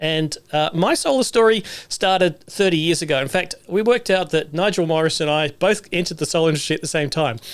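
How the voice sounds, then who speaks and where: In a New Zealand accent, a high-pitched man speaks very fast with ordinary pitch variation. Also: hardly any pauses. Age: 60s. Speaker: solar technician and livestream host. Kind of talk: livestream monologue. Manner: casual, with many fillers.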